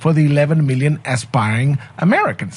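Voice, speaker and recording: With a somewhat breathy, fairly high-pitched voice, a man speaks at a moderate pace. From Mexico. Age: 60s. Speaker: sociology professor. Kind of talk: radio interview.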